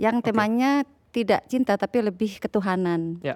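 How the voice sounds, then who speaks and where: A woman with a fairly high pitch and lively intonation has an ordinary speaking voice. The recording is very clean with a silent background and a dry, close sound with no echo. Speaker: Balinese dancer and poet. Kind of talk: casual chat.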